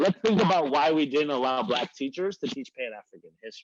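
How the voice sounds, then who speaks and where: Speaking at a fairly quick pace with lively intonation, a man with a fairly high voice sounds dry and close, with no echo. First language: Arabic. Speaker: professor. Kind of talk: workshop presentation. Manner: fast.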